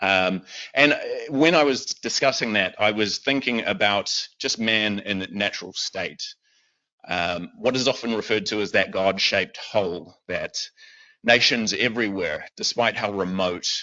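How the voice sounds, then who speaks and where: A man with a New Zealand accent speaks at a fairly slow pace, his fairly low voice showing ordinary pitch variation. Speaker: lay preacher. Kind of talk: sermon. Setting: church with congregation, also streamed online. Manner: hesitant, many fillers.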